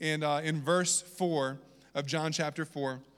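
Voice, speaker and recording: A man with a slight Southern US accent speaks with fairly even intonation in a very clean recording with a silent background. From Virginia. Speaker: pastor. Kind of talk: sermon.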